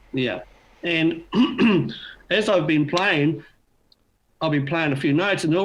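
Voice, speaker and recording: Someone with a New Zealand accent talks at a fairly quick pace with lively intonation. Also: man. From New Zealand, Auckland. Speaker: beginner harmonica player. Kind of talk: interview. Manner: fast, mumbles when tired.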